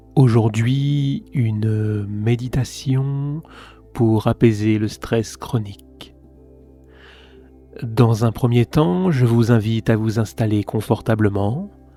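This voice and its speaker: Over background music, a man at a medium pitch speaks at a very slow pace with ordinary pitch variation and long, frequent pauses. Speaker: meditation guide. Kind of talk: guided meditation. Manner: slow, soft-spoken.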